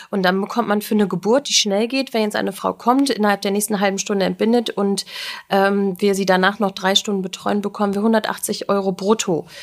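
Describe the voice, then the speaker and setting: Speaking at a fairly quick pace, a woman with a medium pitch keeps a monotone, flat intonation. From Germany, Göttingen (Lower Saxony). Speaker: midwife. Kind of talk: casual interview chat.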